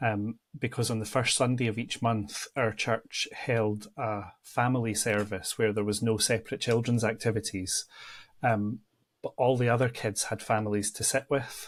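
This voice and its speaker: A man with a Central Belt Scottish accent speaks at medium pitch and moderate pace in a flat monotone, recorded very cleanly over a silent background. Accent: Scottish, between Edinburgh and Glasgow. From Scotland, near Edinburgh. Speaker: church ministry adviser. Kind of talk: interview. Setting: podcast.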